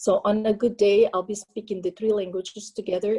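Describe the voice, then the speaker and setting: In a Portuguese accent, a woman speaks at a fairly quick pace and medium pitch, her dark, mellow tone somewhat breathy and her intonation fairly even. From Portugal, raised in France. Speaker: union local president. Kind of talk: panel introduction on webinar.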